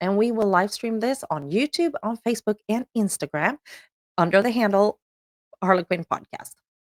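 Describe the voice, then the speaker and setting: A woman of medium pitch speaks at a moderate pace in a Swedish accent, with a dry, close sound and no echo. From Sweden. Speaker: podcast host. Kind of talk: show introduction.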